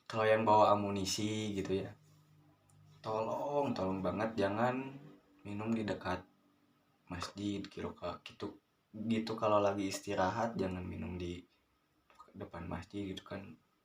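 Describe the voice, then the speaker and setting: A man with a West Javanese accent and a fairly low pitch, fairly even intonation, a moderate pace and long, frequent pauses. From West Java, Garut. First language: Sundanese (speaking Indonesian). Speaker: vlogger, scooter rider. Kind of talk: casual monologue, advice vlog. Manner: halting, many fillers.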